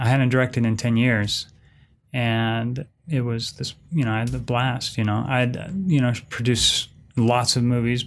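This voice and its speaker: A man's normal speaking voice at a moderate pace, fairly even in intonation, on a very clean recording with a silent background. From San Francisco Bay Area, US. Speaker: film director and professor. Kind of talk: casual interview conversation.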